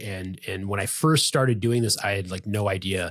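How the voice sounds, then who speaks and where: A man's somewhat breathy, fairly low voice on a very clean recording with a silent background. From US Midwest, Chicago suburbs. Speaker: physician. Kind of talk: podcast interview. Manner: fast.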